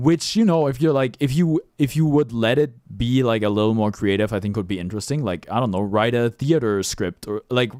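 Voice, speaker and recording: A man speaks with a German accent. The recording is very clean, with a silent background. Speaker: streamer. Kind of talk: livestream commentary. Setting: livestream. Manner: halting.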